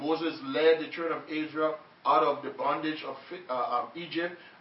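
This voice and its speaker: The man's pitch sits fairly high. He keeps a moderate pace amid noticeable background noise. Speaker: preacher. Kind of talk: sermon. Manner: animated, call-and-response; halting, repeats words.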